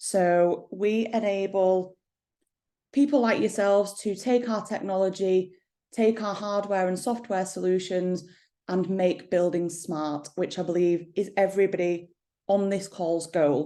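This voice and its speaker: A woman speaks with an English accent at a medium pitch. Her pace is fairly slow and her intonation fairly even. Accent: regional English accent, toned down. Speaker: company managing director. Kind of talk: product presentation.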